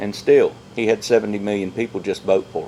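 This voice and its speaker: Over noticeable background noise, a man with a Southern US accent talks at a fairly quick pace. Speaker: podcast co-host. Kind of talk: casual chat.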